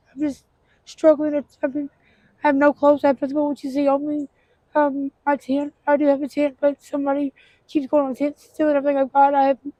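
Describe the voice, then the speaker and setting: A woman with an American accent talks at a very fast pace, high in pitch with a dark, mellow tone. Her intonation is monotone and flat, and the sound is dry and close with no echo. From Tennessee. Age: 40s. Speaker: homeless woman interviewed. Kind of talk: street interview testimony. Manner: halting, many fillers.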